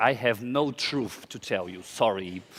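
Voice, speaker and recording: In a very clean recording with a silent background, a man speaks with a Portuguese accent. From Brazil, small town. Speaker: drag queen designer, conference speaker. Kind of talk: conference talk. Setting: stage with audience.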